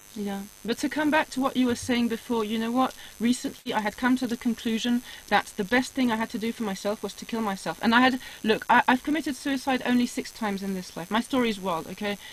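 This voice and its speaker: A woman talks at a very fast pace with ordinary pitch variation. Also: fairly high pitch for a woman. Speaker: spiritual guest telling life story. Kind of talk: casual interview chat.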